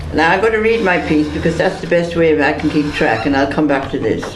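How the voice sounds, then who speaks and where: Amid noticeable background noise and audible room echo, a man with an Irish accent speaks fairly quickly in a fairly high pitch. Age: 70s. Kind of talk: prepared speech read aloud. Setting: press conference.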